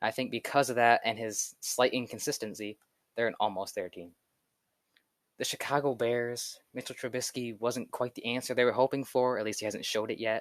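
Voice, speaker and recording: An unremarkable speaking voice moves at a fairly quick pace with fairly even intonation against a quiet background. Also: man, medium pitch for a man. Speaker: sports youtuber. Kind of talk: solo commentary video. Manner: casual.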